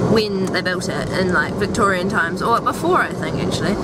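A woman speaks in a dry sound with no echo. Loud background noise fills the recording. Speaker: vlogger. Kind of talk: casual vlog chat. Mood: excited, cheerful. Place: car. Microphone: phone near.

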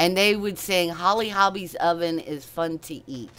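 Faint music plays in the background as a woman with a fairly low pitch speaks at a fairly slow pace. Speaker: senior gamer, Twitch streamer. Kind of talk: casual livestream talk to chat. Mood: chatty, reminiscing, lighthearted.

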